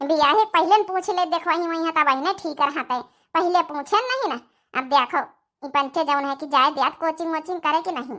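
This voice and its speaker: On a very clean recording with a silent background, a woman does a cartoonish character voice at an extremely high pitch, with ordinary pitch variation and a fairly quick pace. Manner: soft, coaxing.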